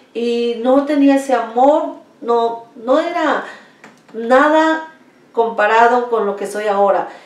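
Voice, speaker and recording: A woman's high-pitched, very slow speech in a Mexico City accent, with audible room echo and noticeable background noise. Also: ordinary pitch variation. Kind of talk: testimony. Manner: halting.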